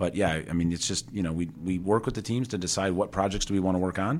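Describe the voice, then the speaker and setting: In a very clean recording with a silent background, a man with a Chicago accent talks very fast in a very deep, low voice with ordinary pitch variation. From Chicago area, Tinley Park. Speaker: motorsport executive and automotive engineer. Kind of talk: interview. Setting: on location at a technical center.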